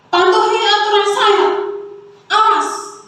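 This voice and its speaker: A loud, put-on character voice at an extremely high pitch, with monotone, flat intonation, a fairly slow pace and strong echo. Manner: stern, scolding.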